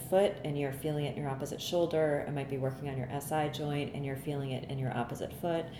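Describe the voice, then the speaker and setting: Through noticeable background noise and audible room echo, a woman with an American accent talks at a very fast pace in a very deep, low pitch with fairly even intonation. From US Midwest, Cleveland, Ohio. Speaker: bodywork therapist. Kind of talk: casual chat.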